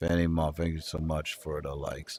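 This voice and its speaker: In a very deep, low pitch, a man speaks at a moderate pace with a sad tone and monotone, flat intonation. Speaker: livestreamer. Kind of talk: casual livestream chat reading comments. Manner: sounds sad, flat delivery.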